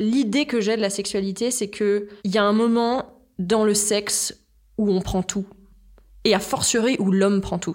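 This woman's medium-pitched voice moves fairly slowly, her intonation fairly even. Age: 30s. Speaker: podcast guest sharing her personal story. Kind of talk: personal testimony in a conversational interview.

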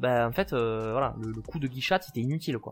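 A man at a moderate pace with lively intonation. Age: 20s. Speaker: dinosaur theme park guide. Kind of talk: casual chat. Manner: halting, many repetitions.

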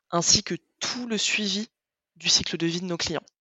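Fairly slow speech from a woman at a medium pitch, showing ordinary pitch variation. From France, Paris and the Landes. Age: 20s. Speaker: customer success manager. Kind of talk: interview.

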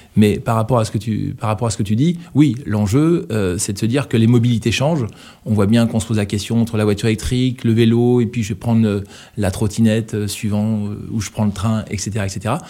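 A man's dark, mellow tone at medium pitch, moving at a fairly quick pace. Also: ordinary pitch variation. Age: 50s. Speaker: startup CEO. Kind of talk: podcast interview. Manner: halting, many repetitions and fillers.

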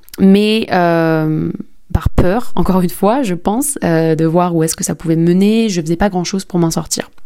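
Against noticeable background noise, a woman with a fairly low pitch speaks fairly slowly, with ordinary pitch variation. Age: 20s. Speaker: podcast host and entrepreneur. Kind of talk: personal testimony. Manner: hesitant, many fillers.

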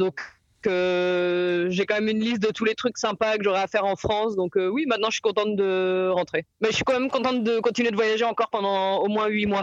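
A high-pitched man at a fairly quick pace, his loudness very even. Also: fairly even intonation, dry, close sound with no echo. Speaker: hitchhiking traveller. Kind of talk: casual chat.

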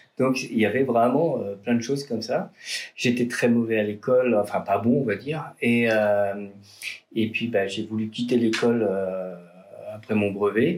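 Long, frequent pauses break up this fairly slow speech with ordinary pitch variation. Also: man, medium pitch for a man. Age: 40s. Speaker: artisan chocolatier and roaster. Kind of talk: interview. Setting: in his shop workshop. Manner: hesitant with fillers and repetitions.

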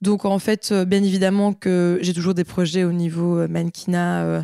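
Her fairly low, dark and mellow voice moves at a fairly slow pace in a flat monotone. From Belgium, Liège. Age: 20s. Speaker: fashion model. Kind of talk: interview. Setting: at home. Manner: halting.

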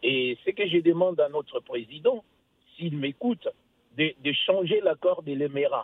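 This man's voice sits high and moves along fairly slowly. The intonation rises and falls in a lively way. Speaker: caller. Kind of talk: radio call-in. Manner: halting.

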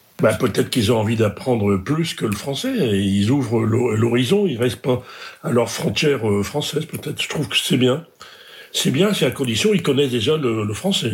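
Through noticeable background noise, a man at medium pitch speaks with lively intonation at a moderate pace. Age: 80s. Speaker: retired logistics manager. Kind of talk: casual interview.

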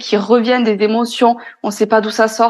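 A woman at a moderate pace, her pitch fairly high. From France. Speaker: podcaster and entrepreneur. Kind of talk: interview. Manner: hesitant.

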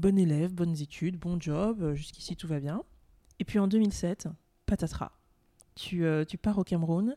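In a very clean recording with a silent background and a dry, close sound with no echo, a woman speaks at medium pitch and a fairly slow pace, her tone dark and mellow and her pitch variation ordinary. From France and Cameroon. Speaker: podcast host. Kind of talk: interview.

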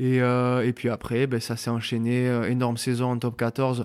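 A man at medium pitch in a very clean recording with a silent background. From southwest France, Landes. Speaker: professional rugby player. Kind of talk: casual interview chat.

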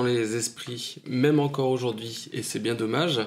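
A man with a normal speaking voice, medium in pitch, with ordinary pitch variation. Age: 40s. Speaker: new father. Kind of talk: testimony.

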